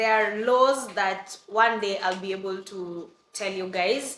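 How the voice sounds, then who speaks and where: A woman speaks with an East African accent. Her tone is animated. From Kenya. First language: Swahili. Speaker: vlogger. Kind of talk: storytime vlog.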